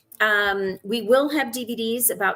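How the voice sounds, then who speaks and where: A normal speaking voice from a woman at fairly high pitch, with fairly even intonation. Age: 60s. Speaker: actress and film director. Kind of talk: interview.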